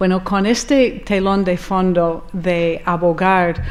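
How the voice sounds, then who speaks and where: There is audible room echo as a woman with an American accent speaks at medium pitch with fairly even intonation. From US, Rochester, New York. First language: English (speaking Spanish). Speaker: architect, conference speaker. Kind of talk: conference talk, personal account. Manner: hesitant, with fillers.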